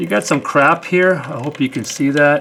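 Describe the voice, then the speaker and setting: Noticeable background noise accompanies delivery at a moderate pace. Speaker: ATV owner and DIY mechanic. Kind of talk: casual how-to talk to camera.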